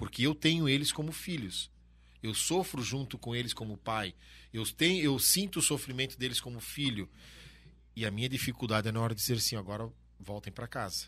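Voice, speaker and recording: A man talks at a fairly quick pace in a bright, sharp tone with lively intonation and a medium pitch. The recording is very clean, with a silent background. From Santa Catarina, Brazil (Brusque). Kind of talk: casual interview. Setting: studio.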